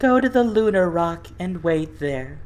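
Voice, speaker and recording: Someone performs a put-on character voice at a middle pitch over light background noise. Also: moderate pace. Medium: read story.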